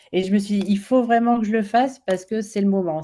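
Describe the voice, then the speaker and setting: At a very fast pace, a woman speaks in a medium pitch with ordinary variation and a dark, mellow tone. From France. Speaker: children's author. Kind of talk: interview. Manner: hesitant, many fillers.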